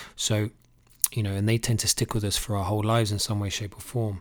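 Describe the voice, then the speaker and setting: In a very clean recording with a silent background, a man's somewhat breathy voice sits at a fairly low pitch with monotone, flat intonation. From UK, Irish family. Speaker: fitness coach and life coach. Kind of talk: motivational podcast monologue.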